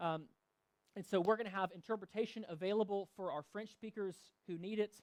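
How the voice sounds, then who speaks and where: A man with a Southern US accent talks at a very fast pace in a high voice. The sound is dry and close, with no echo. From US South. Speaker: pastor. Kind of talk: church announcements and sermon. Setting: church service. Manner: casual, with many fillers.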